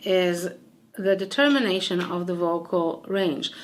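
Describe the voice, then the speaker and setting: At a fairly slow pace, a woman speaks with a bright, sharp tone. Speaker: singer and voice teacher. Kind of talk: tutorial. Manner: casual, conversational.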